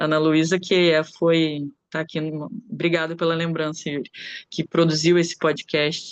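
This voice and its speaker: A woman talks at a fairly slow pace. Her pitch is fairly low and her intonation monotone and flat. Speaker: anthropologist and researcher. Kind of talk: academic conference talk. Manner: hesitant, many filler sounds.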